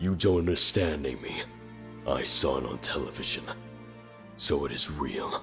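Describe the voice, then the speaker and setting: A man performs in a put-on character voice. He leaves long, frequent pauses over clear music in the background. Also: moderate pace. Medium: dub.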